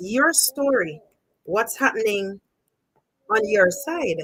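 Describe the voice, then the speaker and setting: Someone speaks very slowly with a Jamaican accent. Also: woman. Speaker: storytelling channel host. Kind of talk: live stream chat.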